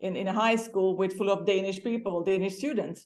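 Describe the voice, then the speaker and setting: The speaker has a Hungarian accent, with audible room echo in the recording. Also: woman. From Hungary. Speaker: former exchange student. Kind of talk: interview. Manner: halting.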